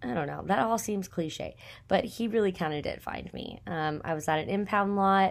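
Speaking at a moderate pace in a medium pitch with an American accent, a woman uses ordinary pitch variation in a very clean recording over a silent background. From Texas. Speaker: podcast host and small business owner. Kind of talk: casual solo monologue. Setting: recording at home in apartment. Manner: chatty, many fillers and laughs.

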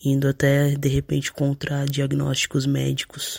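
A man speaks at a fairly slow pace, with a dry, close sound and no echo. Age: 20s. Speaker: listener sending voice message. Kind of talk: recorded voice message.

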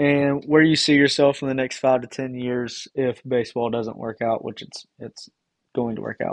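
A man with a Southern US accent speaks at a moderate pace and a fairly high pitch, keeping his intonation fairly even. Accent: Southern American. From East Tennessee, Johnson City. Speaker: podcast host, college baseball pitcher. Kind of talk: casual interview.

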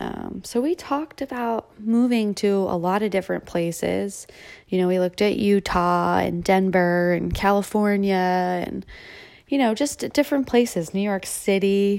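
In a very clean recording with a silent background, a woman speaks at a moderate pace and medium pitch with ordinary pitch variation, in a plain, everyday voice. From Delaware, US Mid-Atlantic. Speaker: podcast host, operating room nurse. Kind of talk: personal monologue podcast. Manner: casual.

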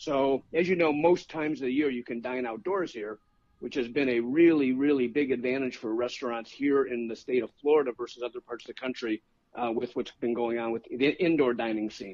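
Using an ordinary speaking voice, a man talks fairly quickly at a medium pitch with ordinary pitch variation. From Chicago. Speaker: food writer. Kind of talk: casual chat. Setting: phone call.

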